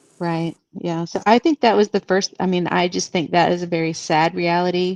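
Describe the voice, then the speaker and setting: In a dry, close sound with no echo, a woman with an unremarkable speaking voice talks at a moderate pace, fairly low in pitch and with fairly even intonation. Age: 60s. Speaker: guest on live show, former Jehovah's Witness. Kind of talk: casual chat.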